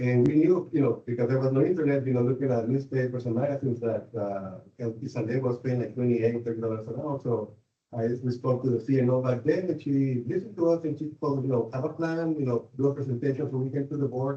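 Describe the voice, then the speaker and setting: A man with a Spanish accent and a medium pitch for a man speaks at a very fast pace with ordinary pitch variation and hardly any pauses. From Mexico. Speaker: nurse, board candidate. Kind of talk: interview. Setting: public board meeting. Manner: halting, many fillers.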